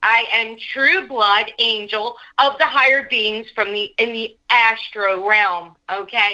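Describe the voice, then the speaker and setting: A woman's bright, sharp voice with an American accent, at a very slow pace with hardly any pauses. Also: fairly high pitch for a woman, ordinary pitch variation. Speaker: co-host.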